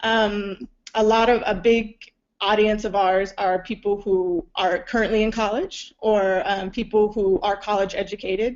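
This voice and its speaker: A woman in a plain, everyday voice, medium in pitch, fairly slow in pace, with fairly even intonation. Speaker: film and web series producer. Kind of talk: conference talk.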